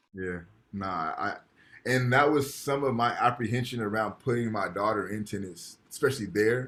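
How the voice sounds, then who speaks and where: A plain, everyday voice of a man at a moderate pace, with ordinary pitch variation. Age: 30s. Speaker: professor. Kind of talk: lecture. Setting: video call.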